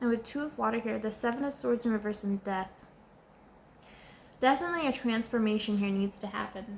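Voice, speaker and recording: Speaking at a fairly quick pace but with long, frequent pauses, a woman keeps a fairly high pitch and ordinary pitch variation. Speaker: tarot reader. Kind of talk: tarot card reading monologue. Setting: indoors at home, candles and air conditioner. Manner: halting, repeats words.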